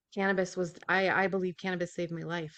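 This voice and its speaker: A woman with an American accent speaks at a fairly quick pace. Her pitch is fairly low, and the background is quiet. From US Midwest, South Dakota. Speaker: nurse, guest sharing recovery story. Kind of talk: interview testimony. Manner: halting, many fillers.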